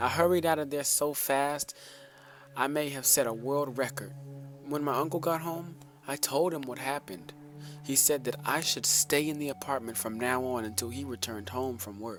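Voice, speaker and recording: With music playing behind him, a man talks at a fairly high pitch and moderate pace, his pitch varying in an ordinary way. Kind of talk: scary story reading.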